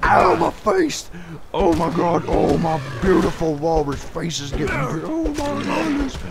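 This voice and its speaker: A man's put-on character voice at a moderate pace, with loud background noise. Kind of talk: comic overacting. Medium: game stream. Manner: whiny, melodramatic, panicked.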